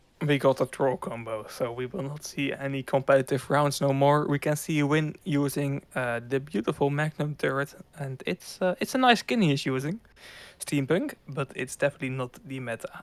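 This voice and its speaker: In a very clean recording with a silent background and a dry, close sound with no echo, a man with a Dutch accent talks at a moderate pace, his fairly high pitch showing ordinary variation. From Netherlands. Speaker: esports commentator. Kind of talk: live commentary.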